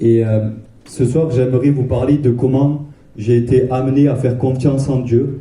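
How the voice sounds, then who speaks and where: Audible room echo surrounds a man speaking at medium pitch in a monotone, flat intonation. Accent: southwestern French. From southwest France, Castres. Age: 20s. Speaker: Bible school student. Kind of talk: testimony. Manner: halting.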